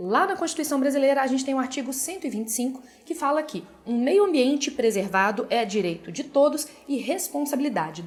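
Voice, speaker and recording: With lively intonation, a woman speaks in a high voice. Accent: Minas Gerais. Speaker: essay-writing teacher. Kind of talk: tutorial. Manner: casual, direct address.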